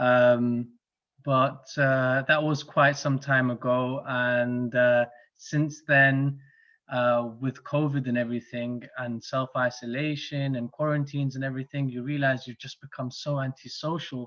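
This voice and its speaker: With a London accent, a man talks fairly slowly at a medium pitch in a flat monotone. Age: 30s. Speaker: club guest introducing himself. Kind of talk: casual self-introduction. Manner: hesitant, many fillers.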